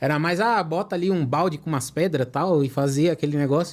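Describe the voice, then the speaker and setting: On a very clean recording with a silent background, a man speaks in a fairly high pitch. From Brazil, São Paulo. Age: 30s. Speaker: koi fish breeder. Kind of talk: casual interview chat.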